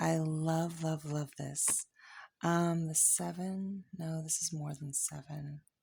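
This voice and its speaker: Soft-spoken and somewhat breathy, a woman talks at a very slow pace in a very deep, low pitch with a dark, mellow tone, in a very clean recording with a silent background. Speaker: tarot reader. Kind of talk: tarot reading. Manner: halting.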